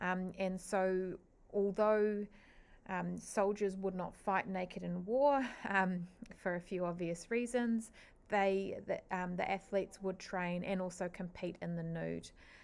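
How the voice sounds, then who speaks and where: A woman with a New Zealand accent, medium in pitch, fairly even in intonation and fairly slow in pace. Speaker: teacher. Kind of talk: lecture. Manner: hesitant, frequent fillers.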